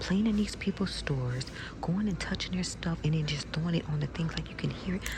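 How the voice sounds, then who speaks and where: A soft-spoken woman whispering over noticeable background noise. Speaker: ASMR content creator. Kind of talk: public ASMR whispering chat. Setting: inside a craft store.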